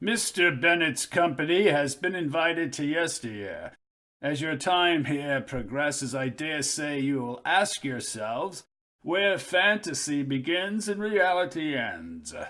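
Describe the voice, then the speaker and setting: A man puts on a character voice at a fairly high pitch, speaking at a fairly slow pace with lively intonation, on a very clean recording with a silent background. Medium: read story. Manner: formal, measured.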